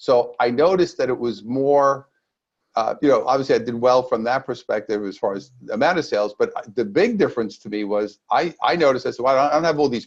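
Here a man talks fairly quickly at medium pitch, in a normal speaking voice. His pitch varies in an ordinary way. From New York, Brooklyn. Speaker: energy healer and sales author. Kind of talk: interview.

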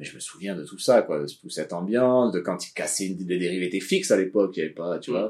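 This male speaker's pitch is very deep and low. The intonation holds fairly even. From Basque Country, France (born in Morocco, moved at 13). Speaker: surfboard shaper. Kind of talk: casual interview chat.

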